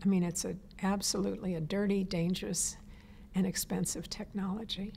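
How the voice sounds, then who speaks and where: Vocal fry runs through a dark, mellow tone. The pace is moderate and the intonation fairly even. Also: woman. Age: 70s. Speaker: environmental activist. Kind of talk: interview. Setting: on camera interview.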